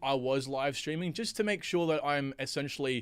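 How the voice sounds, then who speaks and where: Lively intonation from a man at a medium pitch on a very clean recording with a silent background. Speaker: crypto YouTuber. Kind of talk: livestream talk to viewers. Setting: home recording studio. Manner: fast; halting.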